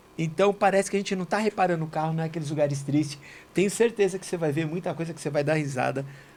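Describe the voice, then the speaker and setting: The speaker is a man with a fairly high pitch and ordinary pitch variation. He talks at a very fast pace. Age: 60s. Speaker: auto body shop owner and church member. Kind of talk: casual religious study chat.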